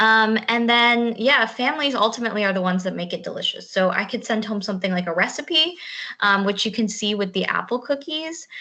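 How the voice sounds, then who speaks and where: Her tone is bright and sharp, and her intonation is lively. This woman speaks at a fairly high pitch and a fairly quick pace. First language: Spanish (bilingual). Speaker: school garden and food teacher. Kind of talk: virtual presentation. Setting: video call.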